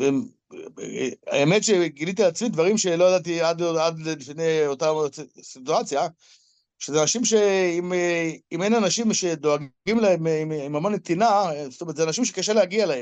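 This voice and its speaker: A man speaks at a high pitch and a moderate pace, leaving long, frequent pauses. His pitch varies in an ordinary way against a quiet background. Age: 60s. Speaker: business owner in apartment clearing and cleaning. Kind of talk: interview. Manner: halting, repetitive.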